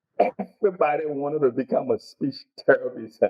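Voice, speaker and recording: A man's fairly high voice with very wide swings in pitch. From Liberia. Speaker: motivational speaker. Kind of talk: interview. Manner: halting.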